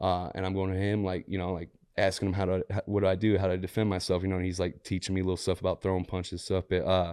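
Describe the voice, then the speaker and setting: A man with a St. Louis accent speaks at a very fast pace with hardly any pauses, his very deep voice dark and mellow in a flat monotone, over a quiet background. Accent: Midwestern American, St. Louis. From US Midwest, St. Louis area, Missouri. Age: 30s. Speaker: entrepreneur and former prisoner. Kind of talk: interview testimony. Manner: casual, filler-heavy.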